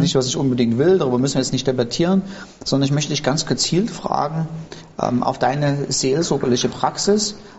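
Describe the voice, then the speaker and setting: This man has a plain, everyday voice with a fairly high pitch. He talks at a fairly quick pace with ordinary pitch variation. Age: 50s. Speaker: pastor, podcast host. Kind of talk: casual interview.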